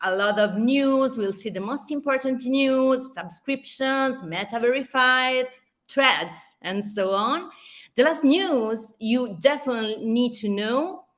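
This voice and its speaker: A high-pitched woman's voice with an Italian accent and lively intonation at a fairly slow pace, recorded very cleanly against a silent background. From Italy. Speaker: social media marketing speaker. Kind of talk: conference presentation. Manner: halting, with restarts.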